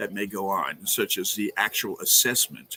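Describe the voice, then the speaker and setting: With a slight New York accent, a man talks at a moderate pace in a dry, close sound with no echo. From Brooklyn, New York. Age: 70s. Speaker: exorcist priest. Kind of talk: interview. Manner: hesitant, many fillers.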